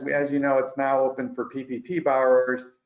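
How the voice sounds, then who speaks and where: A man is speaking. His pitch is medium. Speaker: accountant presenting tax update. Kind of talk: webinar presentation. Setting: online webinar. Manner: fast.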